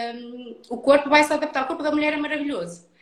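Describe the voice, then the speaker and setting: Here a woman talks with ordinary pitch variation. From northern Portugal, Felgueiras near Porto. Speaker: personal trainer for pregnancy and postpartum. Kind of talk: interview. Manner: halting, many repetitions.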